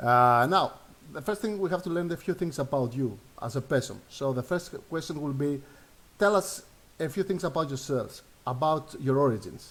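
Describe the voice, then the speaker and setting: A man with a Greek accent, fairly high in pitch, with lively intonation. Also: moderate pace. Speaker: online show host. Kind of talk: interview. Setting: live stream. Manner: halting.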